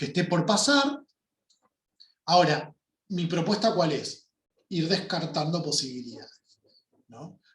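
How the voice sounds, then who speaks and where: Pausing long and often, a man with a high pitch speaks at a fairly slow pace with lively intonation. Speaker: workshop teacher. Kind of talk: online workshop lecture.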